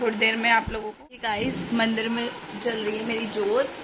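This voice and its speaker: Noticeable background noise accompanies a woman who speaks at a fairly slow pace in a fairly high pitch. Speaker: mom vlogger. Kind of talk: casual vlog chat. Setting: at home.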